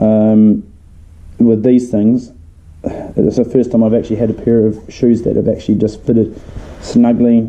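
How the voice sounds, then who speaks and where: Speaking with a New Zealand accent, a man delivers monotone, flat speech at a medium pitch and fairly slow pace, his loudness very even. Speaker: leather case and sheath maker. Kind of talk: casual product review to camera.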